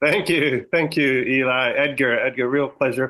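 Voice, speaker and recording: A man with a Canadian accent and a bright, sharp tone at medium pitch, with ordinary pitch variation and a moderate pace against a quiet background. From Canada. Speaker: stem cell research professor. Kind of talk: podcast interview.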